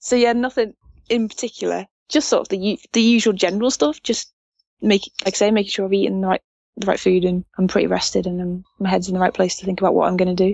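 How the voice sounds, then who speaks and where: A woman with an English accent at a very fast pace with fairly even intonation. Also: medium pitch for a woman. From England. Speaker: motorcycle racer. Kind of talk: interview answer. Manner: passionate.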